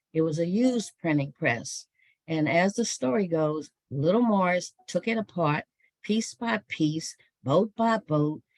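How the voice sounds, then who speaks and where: Dry and close with no echo, a normal speaking voice moves at a fairly slow pace with lively intonation. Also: woman, fairly low pitch for a woman, very even loudness. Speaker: author and historian giving a talk. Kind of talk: online book talk.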